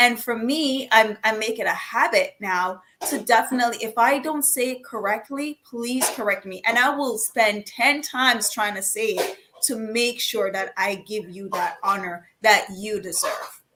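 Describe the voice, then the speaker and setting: A woman with a Jamaican accent speaks fairly slowly at a fairly high pitch, with ordinary pitch variation and hardly any pauses. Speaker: panelist. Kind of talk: panel discussion.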